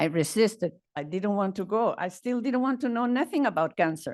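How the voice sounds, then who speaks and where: A woman with a Chilean accent speaks at a moderate pace and a fairly high pitch, her intonation lively. The background is quiet. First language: Spanish. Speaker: cancer patient advocate. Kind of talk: reading aloud.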